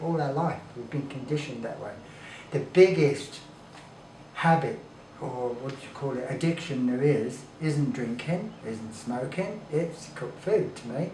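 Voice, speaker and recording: A man's fairly high voice at a fairly slow pace, with ordinary pitch variation and big swings in loudness, in audible room echo and noticeable background noise. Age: 60s. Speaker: raw food advocate. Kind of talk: casual chat.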